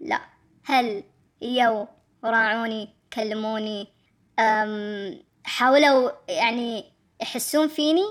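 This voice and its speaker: The speech moves at a very slow pace with long, frequent pauses. Pitch varies in an ordinary way. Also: woman, fairly high pitch for a woman. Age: 20s. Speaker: interviewee sharing personal story. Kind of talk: testimony. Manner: halting.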